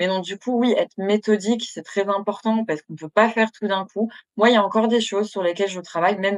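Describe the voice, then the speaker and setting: Rushing at a very fast pace, a woman with a medium pitch and fairly even intonation shows big swings in loudness in a dry, close sound with no echo. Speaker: therapist. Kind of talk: interview.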